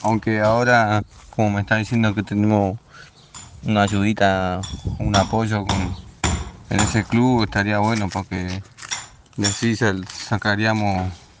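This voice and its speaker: A man's fairly low voice, monotone and flat, at a fairly slow pace over noticeable background noise. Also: long, frequent pauses. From Rosario, Argentina. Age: 30s. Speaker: amateur footballer and construction worker. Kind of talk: interview.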